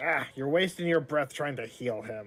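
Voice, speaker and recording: A man uses a raspy, put-on character voice at a fairly high pitch. His intonation is lively. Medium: actual play. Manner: dismissive, offhand.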